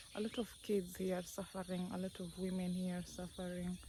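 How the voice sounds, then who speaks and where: A woman with a non-native accent at a fairly slow pace over noticeable background noise. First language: not English. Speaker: village life vlogger. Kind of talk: casual vlog monologue. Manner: slow, hesitant with fillers.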